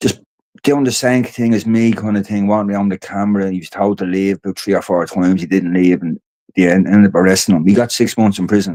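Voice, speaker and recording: A man talks at a fairly quick pace with an Irish accent. His pitch is fairly low. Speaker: podcast host and activist. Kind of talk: casual livestream chat. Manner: fast; rambling, halting.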